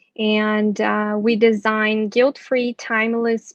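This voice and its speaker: A woman speaks with a Portuguese accent at a fairly high pitch. The sound is dry and close with no echo, over a quiet background. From Brazil. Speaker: fashion brand founder. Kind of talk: panel discussion.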